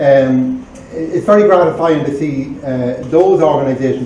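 In a Cavan accent with ordinary pitch variation, the voice carries audible room echo over light background noise. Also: man. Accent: Irish, Cavan. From Ireland, County Cavan; Ireland. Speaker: charity chairperson. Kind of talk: speech. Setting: library event with audience. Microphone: camera far.

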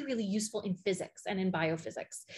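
A woman speaks with a Canadian accent. Her delivery is fairly quick and somewhat breathy. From Canadian prairies, Alberta. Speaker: physicist. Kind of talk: conference talk. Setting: video call. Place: home room. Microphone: webcam.

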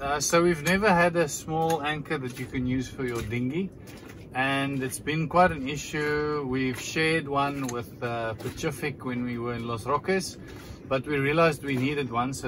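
Noticeable background noise sits under a man's voice. He talks at a moderate pace with ordinary pitch variation. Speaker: sailing vlogger. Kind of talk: casual vlog chat. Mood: relaxed, cheerful. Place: boat. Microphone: camera far.

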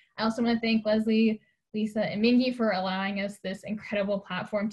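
Over a quiet background, a woman talks at a very fast pace in a somewhat breathy voice with fairly even intonation. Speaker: forum moderator. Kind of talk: interview. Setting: video call. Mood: friendly, smiling. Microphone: video call.

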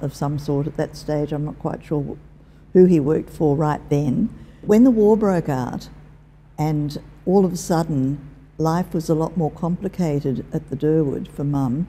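In a very deep, low, dark and mellow voice, a woman speaks at a fairly slow pace with ordinary pitch variation. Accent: Australian. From Perth, Western Australia. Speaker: retired teacher and corporate librarian. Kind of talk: oral history interview.

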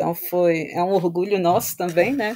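A woman's fairly low-pitched voice in a very clean recording with a silent background. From Brazil, Vitória, Espírito Santo. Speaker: data science consultant. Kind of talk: interview.

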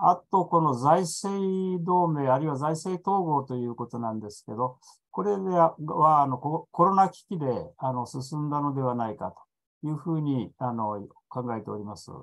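A man speaks with a fairly high pitch at a moderate pace. The background is quiet. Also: big swings in loudness. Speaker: EU expert panelist; panelist. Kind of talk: presentation. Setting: online video conference. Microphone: video call.

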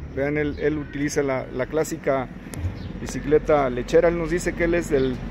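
Through noticeable background noise, a man with a fairly high pitch speaks at a moderate pace in a monotone, flat intonation. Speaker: street interviewer, channel host. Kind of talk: street interview questions. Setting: outdoors. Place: street.

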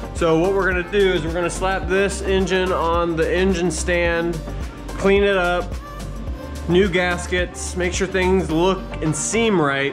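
Music can be heard clearly behind the voice. A man talks at a fairly slow speed. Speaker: home mechanic vlogger. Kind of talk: casual vlog chat. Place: garage. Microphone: phone near.

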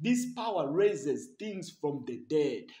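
A man speaks at a high pitch in a dark, mellow tone. His intonation is lively and his pace fairly slow. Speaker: preacher. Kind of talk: sermon at a healing service. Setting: church. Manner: fervent, urgent, rising prayer with repeated phrases; emphatic, declaring and commanding in Jesus' name.

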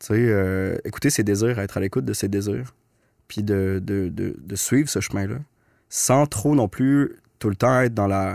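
Over a quiet background, a man speaks at a fairly slow pace with a fairly low pitch and ordinary pitch variation. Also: dry sound with no echo. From Quebec City, Quebec; Quebec. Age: 30s. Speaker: documentary filmmaker; podcast guest. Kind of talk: casual interview. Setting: studio. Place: studio. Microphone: studio mic.

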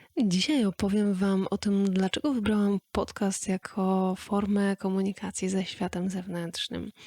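In a very clean recording with a silent background, a woman speaks very slowly at medium pitch, somewhat breathy, with very even loudness and fairly even intonation. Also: dry, close sound with no echo. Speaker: podcast host. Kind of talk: podcast monologue. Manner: soft-spoken.

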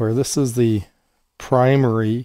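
A man speaks slowly with a dark, mellow tone. His pitch is fairly low and its variation is ordinary.

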